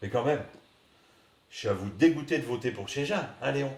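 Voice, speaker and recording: In a northern French accent, a man talks at a fairly slow pace with lively intonation. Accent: northern French Ch'ti. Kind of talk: comic sketch dialogue. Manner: hesitant, rambling.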